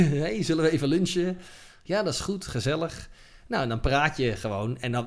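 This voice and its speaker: Pitched fairly high, a man's voice swings very widely in pitch. He keeps a moderate pace. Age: 40s. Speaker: cinematographer. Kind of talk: interview. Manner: halting.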